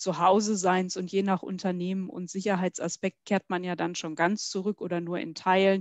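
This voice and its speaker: A woman with a fairly low pitch speaks at a moderate pace with fairly even intonation, the sound dry with no echo against a quiet background. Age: 40s. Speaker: HR executive and association president; interview guest. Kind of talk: interview. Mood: friendly, smiling. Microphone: headset.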